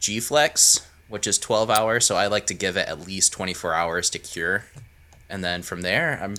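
A man's bright, sharp tone at a moderate pace, with ordinary pitch variation. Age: 20s. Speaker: knife maker and video creator. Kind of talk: casual chat.

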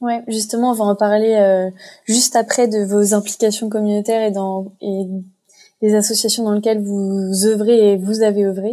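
The tone is dark and mellow, delivered in a flat monotone. The pace is moderate. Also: woman. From France. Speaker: podcast host. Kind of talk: interview hosting.

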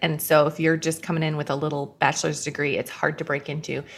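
A woman is speaking. She has an American accent. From US Midwest. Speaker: writer and editor. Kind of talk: interview.

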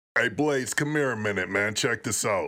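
Using a put-on character voice, a man speaks at a moderate pace in a medium pitch with very even loudness. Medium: comedy sketch. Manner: casual, hip slang.

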